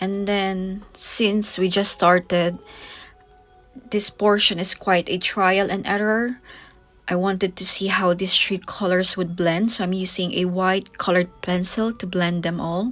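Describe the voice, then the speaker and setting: Over music in the background, a woman speaks at a fairly slow pace in a medium pitch with monotone, flat intonation. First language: not English (English is third language). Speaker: art tutor. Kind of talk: tutorial.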